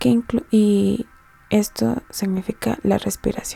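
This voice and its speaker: Soft-spoken woman with music in the background. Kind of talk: educational study-guide narration, soft-spoken.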